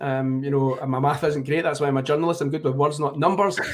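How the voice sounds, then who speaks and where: A man with a Glaswegian accent. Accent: Glaswegian Scottish. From Scotland, Glasgow. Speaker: tennis journalist. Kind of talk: live commentary. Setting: live stream watchalong. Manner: fast.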